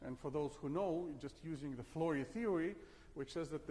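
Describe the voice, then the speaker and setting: The man talks at a moderate pace. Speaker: physics professor. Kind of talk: lecture. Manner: halting, many fillers.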